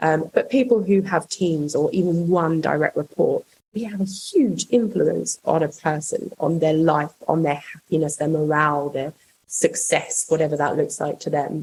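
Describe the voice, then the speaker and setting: Her voice somewhat breathy and fairly low, a woman speaks at a moderate pace with ordinary pitch variation. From another country, not Australia. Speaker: rail construction project manager. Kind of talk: podcast interview. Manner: hesitant, many fillers.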